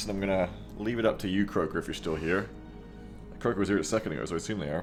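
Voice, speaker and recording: A man's fairly low voice at a very fast pace, with long, frequent pauses, ordinary pitch variation and music in the background. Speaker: streamer reading chat. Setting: live game stream.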